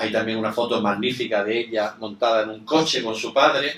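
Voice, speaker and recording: A man's bright, sharp tone holds fairly even intonation. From Spain. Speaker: event moderator. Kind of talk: formal introduction of a guest. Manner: halting, many fillers.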